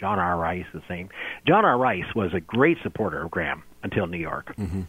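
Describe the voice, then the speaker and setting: With an American accent, a man talks at a fairly quick pace in a very deep, low voice. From US Midwest, southwest Missouri. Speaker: history professor. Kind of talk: interview. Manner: halting.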